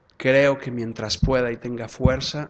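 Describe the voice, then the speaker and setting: A man speaks in a Jalisco accent at medium pitch. His pace is fairly slow. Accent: Mexican, from Zapopan. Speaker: law professor and lawyer. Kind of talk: lecture with audience Q&A.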